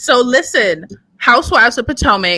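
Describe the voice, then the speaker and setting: A woman speaks loudly. Her tone is bright and sharp. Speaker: podcast co-host. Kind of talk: casual chat. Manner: animated. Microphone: distorted mic.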